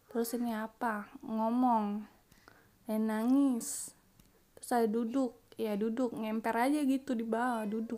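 A woman with a slight Jakarta accent speaks fairly slowly in a fairly high pitch, her dark, mellow tone flat and monotone while her loudness swings widely. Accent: slight Betawi-sounding. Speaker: gaming youtuber. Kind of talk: gameplay commentary. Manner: casual, chatty; voiceover recorded after editing.

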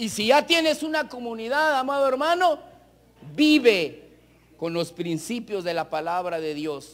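Pitched extremely high, a man's voice rises and falls in very wide swings. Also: fairly slow pace. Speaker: preacher. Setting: church with congregation, broadcast on radio. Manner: earnest, exhorting, direct appeals to 'amados hermanos' with rhetorical questions; measured, pausing to repeat phrases for emphasis. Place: hall.

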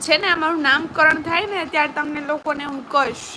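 Noticeable background noise surrounds a raised, projected voice. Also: woman. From Gujarat, Saurashtra (Palitana area). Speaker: YouTube vlogger. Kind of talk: live stream chat with viewers.

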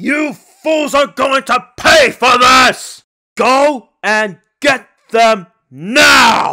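Loud shouting in a put-on character voice, fairly high in pitch and very slow. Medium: role play. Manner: loud, angry shouting.

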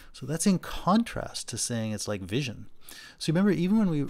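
A man speaks at a fairly quick pace. His intonation is lively. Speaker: philosophy lecturer. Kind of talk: lecture. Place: home room. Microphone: webcam.

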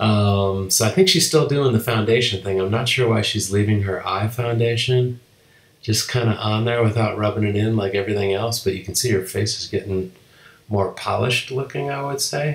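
The voice has an amused tone and ordinary pitch variation. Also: man, fairly low pitch for a man, moderate pace. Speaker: husband doing a voiceover. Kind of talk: humorous live commentary over a makeup video. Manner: casual, hesitant, amused.

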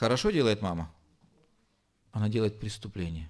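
There is a man talking. Little else can be heard behind him. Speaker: pastor. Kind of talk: sermon. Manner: slow. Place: church. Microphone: podium.

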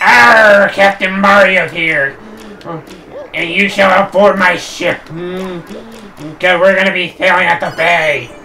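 Someone uses a put-on character voice at a middle pitch and a fairly slow pace, with clear background noise behind it. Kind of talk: gaming streamer performance. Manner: boisterous, growling, theatrical.

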